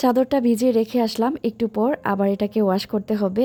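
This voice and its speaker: Her dark, mellow tone sits at a fairly high pitch for a woman, with fairly even intonation. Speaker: lifestyle vlogger. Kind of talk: vlog narration.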